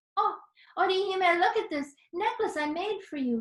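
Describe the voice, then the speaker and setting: Squeaky and clearly put on, the character voice keeps a moderate pace. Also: woman, extremely high pitch for a woman. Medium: read story.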